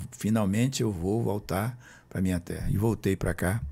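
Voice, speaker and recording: The recording is very clean with a silent background. A man speaks at a moderate pace in a fairly low, dark, mellow voice with ordinary pitch variation. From Brazil, Roraima (Boa Vista). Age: 70s. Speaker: author and former politician. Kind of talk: interview.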